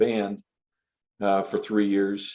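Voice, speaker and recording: This man has a dark, mellow tone and an upstate New York accent. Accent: American (Northeast, upstate New York). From US Northeast (western New York State). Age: 60s. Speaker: association executive director and former Air Force aerospace physiologist. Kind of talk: interview answering questions from young audience. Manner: halting, many fillers and repetitions.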